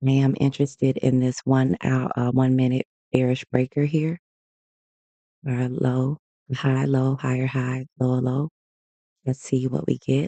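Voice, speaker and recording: Dry and close with no echo, a man's dark, mellow voice comes in a Southern US accent at a fairly slow pace. His intonation stays monotone and flat, his loudness very even, with long, frequent pauses. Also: medium pitch for a man. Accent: Southern US, country. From US South. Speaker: day trader streamer. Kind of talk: live trading commentary. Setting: livestream. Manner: casual, conversational.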